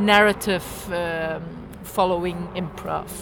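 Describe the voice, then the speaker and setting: A voice with a Belgian accent comes through over noticeable background noise. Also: woman. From rural Belgium. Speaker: improv performer. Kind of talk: casual chat.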